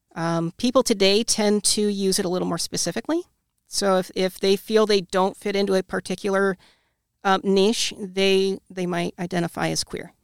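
On a very clean recording with a silent background, dry and close with no echo, a woman with an unremarkable speaking voice talks at a medium pitch with fairly even intonation. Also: moderate pace. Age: 30s. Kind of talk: casual interview.

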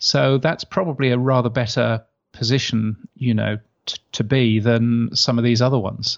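This man has an English accent and a medium pitch. He speaks at a moderate pace. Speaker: podcast industry expert and newsletter editor. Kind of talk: casual interview. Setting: video call.

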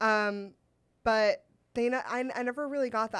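A woman with an American accent speaks in a plain, everyday voice at a fairly high pitch and a moderate pace, with ordinary pitch variation. The recording is very clean with a silent background. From US West Coast, Sacramento. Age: 30s. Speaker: comedian. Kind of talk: casual chat.

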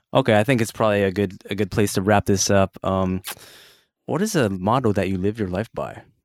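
In a plain, everyday voice with an American accent and fairly even intonation, the speaker comes through in a dry, close recording with no echo and a very clean, silent background. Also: man, fairly low pitch for a man. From Cupertino, California. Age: 30s. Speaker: podcast host. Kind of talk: casual interview.

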